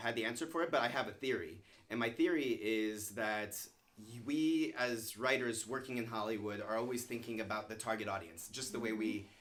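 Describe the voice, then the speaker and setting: Speaking with an American accent, a man of medium pitch talks at a moderate pace with ordinary pitch variation, and audible room echo surrounds him. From US East Coast, Virginia (Stafford). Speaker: screenwriter. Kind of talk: interview conversation. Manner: loud.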